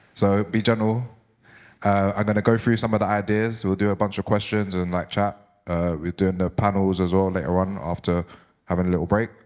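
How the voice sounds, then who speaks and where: A London accent with fairly even intonation. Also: man. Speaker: DJ and author giving a talk. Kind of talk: public talk. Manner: fast.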